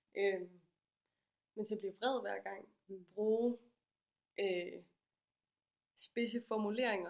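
Fairly even intonation at a very slow pace, broken by long, frequent pauses. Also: woman, fairly high pitch for a woman. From Denmark, Aarhus. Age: 20s. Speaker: graphic designer, feminist project founder. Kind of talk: casual interview.

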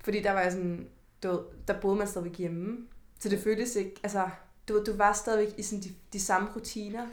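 Audible room echo surrounds a woman's medium-pitched voice. Her intonation is monotone and flat. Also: fairly quick pace. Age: 20s. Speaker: podcast host. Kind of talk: casual chat.

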